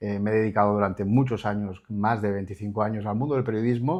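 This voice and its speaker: Against a quiet background, a man with a fairly low pitch uses an ordinary speaking voice, fairly even intonation and a fairly quick pace. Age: 60s. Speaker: journalist. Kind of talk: interview.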